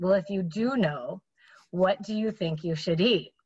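A woman with an American accent talks at a moderate pace, her medium-pitched voice somewhat breathy. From Minnesota, US. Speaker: fitness entrepreneur. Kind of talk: interview conversation. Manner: energetic.

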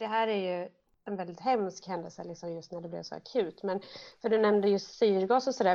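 Medium-pitched female speech with ordinary pitch variation: a plain, everyday voice. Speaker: podcast co-host with cystic fibrosis. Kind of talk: casual interview.

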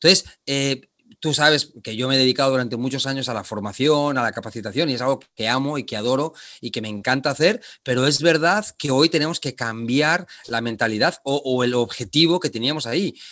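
A man with a bright, sharp tone talks at a fairly quick pace and medium pitch, with ordinary pitch variation. The recording is very clean, with a silent background. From Spain, Barcelona. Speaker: leadership trainer. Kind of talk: interview.

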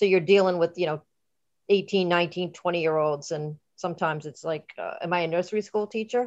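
A woman with a fairly low pitch and an ordinary speaking voice talks at a fairly quick pace with fairly even intonation. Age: 50s. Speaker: podcast host. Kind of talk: casual interview chat. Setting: online call.

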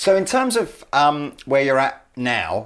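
A man speaks fairly slowly in an English accent. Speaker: podcast host. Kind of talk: interview. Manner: halting.

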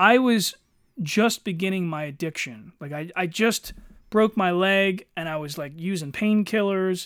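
A man with a Philadelphia accent speaks at a fairly slow pace in a high voice with lively intonation, on a very clean recording with a silent background. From Philadelphia area, US. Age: 40s. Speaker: podcast co-host, army veteran. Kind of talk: casual chat.

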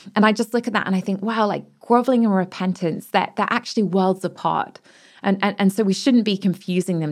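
Recorded very cleanly against a silent background, a woman with a British accent and a medium pitch speaks at a fairly quick pace. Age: 30s. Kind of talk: reflective personal conversation.

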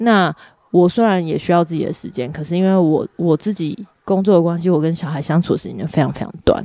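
The tone is dark and mellow, delivered at a fairly quick pace. The recording is very clean with a silent background. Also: woman, fairly low pitch for a woman, ordinary pitch variation. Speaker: podcast co-host, mother. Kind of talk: casual chat.

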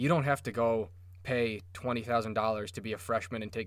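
Recorded very cleanly against a silent background, a man with a plain, everyday voice and an American accent speaks fairly quickly at a fairly low pitch with ordinary pitch variation. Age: 20s. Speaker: podcast host. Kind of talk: casual chat. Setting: studio.

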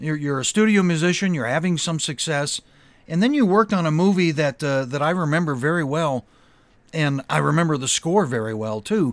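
With an ordinary speaking voice, a man speaks at a fairly quick pace and fairly high pitch, his intonation lively, on a very clean recording with a silent background. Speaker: podcast host. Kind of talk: interview about film music.

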